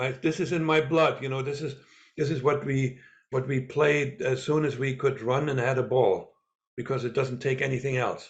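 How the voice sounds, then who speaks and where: A man with a slight German accent has a fairly high pitch and a somewhat breathy voice. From East Germany. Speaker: former spy and author. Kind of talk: interview. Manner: halting, with many repeats and fillers.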